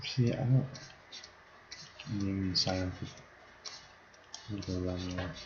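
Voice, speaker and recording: A man with a very deep, low pitch and ordinary pitch variation speaks at a moderate pace with long, frequent pauses, amid audible room echo and noticeable background noise. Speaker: gaming streamer. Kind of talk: live stream gameplay commentary. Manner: casual, talking to himself.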